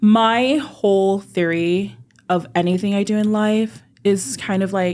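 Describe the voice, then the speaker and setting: A woman with an American accent speaks at a fairly slow pace in an ordinary speaking voice. Her pitch is medium, with ordinary variation. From Utah and California, US. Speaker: hair stylist and salon owner. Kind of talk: casual podcast interview.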